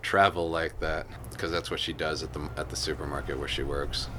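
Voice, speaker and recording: Talking at a very fast pace, a man with an American accent has a bright, sharp tone, lively intonation and vocal fry. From Las Vegas, US. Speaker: interviewee. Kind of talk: casual chat. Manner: halting.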